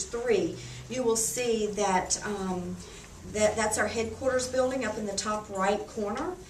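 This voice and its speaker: Fairly slow speech with ordinary pitch variation, audible room echo and noticeable background noise. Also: woman. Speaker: beauty consultant. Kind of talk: sales presentation. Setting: home party with guests.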